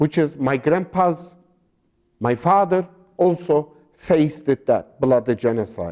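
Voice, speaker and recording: A man with a Turkish accent and a dark, mellow tone speaks fairly high in pitch, with ordinary pitch variation and very even loudness. He goes at a fairly slow pace with long, frequent pauses. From Turkey (Sivas region). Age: 60s. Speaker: genocide survivor descendant. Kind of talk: interview. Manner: halting.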